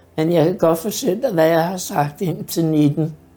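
With music in the background, a woman speaks at a fairly low pitch with ordinary pitch variation. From Denmark, Hobro area. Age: 60s. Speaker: care home resident. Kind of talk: life story interview. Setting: in her apartment. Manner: hesitant with fillers.

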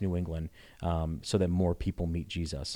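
A very deep, low-pitched man with an American accent, dark and mellow, fairly quick and monotone, on a very clean recording with a silent background. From Connecticut. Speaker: pastor. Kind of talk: casual chat.

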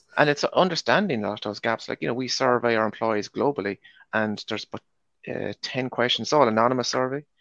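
A man talks at a very fast pace with a medium pitch and ordinary pitch variation. The sound is dry and close, with no echo. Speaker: supply chain manager. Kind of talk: panel discussion. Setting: video call.

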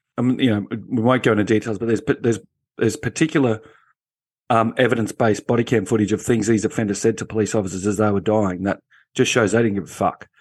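Talking at a very fast pace, a man with an Australian accent keeps a medium pitch and ordinary pitch variation. The background is quiet. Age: 50s. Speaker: former police officer. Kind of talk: panel discussion. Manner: animated.

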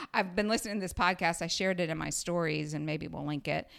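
A woman's fairly low voice with vocal fry, on a very clean recording with a silent background. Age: 50s. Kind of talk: casual chat.

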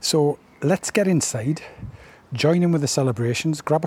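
This man talks at a moderate pace with a British accent and ordinary pitch variation. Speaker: podcast host. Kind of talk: podcast presenting and interviewing. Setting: on location at a village hall.

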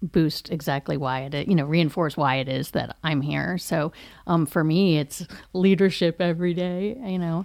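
A woman with an ordinary speaking voice talks at a moderate pace, her pitch fairly low and her pitch variation ordinary. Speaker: college staff podcast host. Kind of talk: casual chat. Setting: studio.

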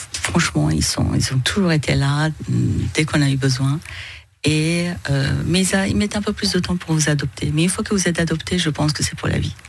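Noticeable background noise accompanies a woman with a very deep, low pitch whose lively intonation comes at a moderate pace and very even loudness. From Iranian origin, raised in northern France. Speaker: business executive, chamber of commerce president. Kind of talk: radio interview. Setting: radio studio. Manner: hesitant, many filler sounds.

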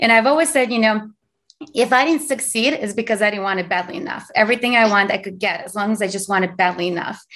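A woman talks at a very fast pace. Her pitch is fairly high. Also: ordinary pitch variation. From Azerbaijan. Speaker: tech company founder. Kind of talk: interview. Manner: fast talker.

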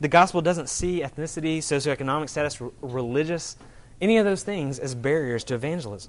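Speaking quietly at a fairly quick pace, a man uses a fairly high pitch with ordinary variation. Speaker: pastor. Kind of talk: sermon. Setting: church. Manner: trails off quietly at poignant moments.

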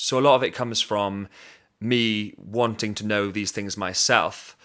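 With a Welsh accent, this man has a fairly low pitch, ordinary pitch variation and a bright, sharp tone, in a very clean recording with a silent background. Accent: Welsh (Swansea). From Wales, Swansea. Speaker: podcast host and professional drummer. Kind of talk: monologue introduction.

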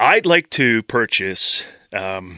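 A man uses a put-on character voice, fairly low in pitch with big pitch swings and a bright, sharp tone at a slow pace. The recording is very clean, with a silent background and a dry, close sound with no echo.

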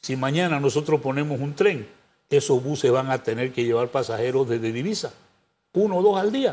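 A man with an ordinary speaking voice, fairly high in pitch, talks at a fairly quick pace with lively intonation in a very clean recording with a silent background. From Panama. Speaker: presidential pre-candidate and lawyer. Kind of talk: interview.

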